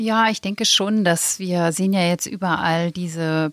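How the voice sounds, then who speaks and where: A woman with a plain, everyday voice, a fairly low pitch and a fairly slow pace. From Lower Saxony, near East Frisia. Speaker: magazine editor-in-chief. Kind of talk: interview conversation. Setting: studio.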